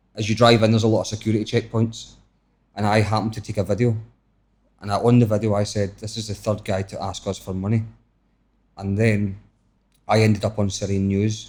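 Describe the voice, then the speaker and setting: A somewhat breathy man with a Scottish accent, fairly low pitch, monotone, flat intonation, a fairly quick pace and long, frequent pauses, on a very clean recording with a silent background. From Scotland. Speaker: travel vlogger. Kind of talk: podcast interview. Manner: fast.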